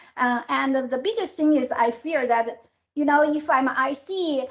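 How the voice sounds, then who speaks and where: A woman's high-pitched voice with a non-native accent and lively intonation. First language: not English. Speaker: tech executive. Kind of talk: interview. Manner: halting.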